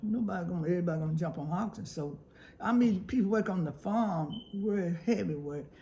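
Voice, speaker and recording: With a Southern US accent, a woman talks fairly quickly at a fairly low pitch. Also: ordinary pitch variation. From South Carolina. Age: 80s+. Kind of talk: interview answer.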